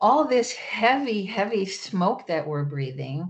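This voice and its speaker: Against a quiet background, a woman with an American accent and a normal speaking voice speaks at a fairly slow pace with lively intonation. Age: 60s. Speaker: political candidate. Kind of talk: interview.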